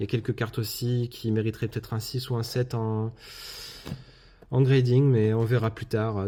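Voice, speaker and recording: Here a man talks at a moderate pace. His voice is somewhat breathy and sits at a medium pitch. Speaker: YouTube card collector. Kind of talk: casual video commentary, unboxing. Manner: hesitant, many filler words.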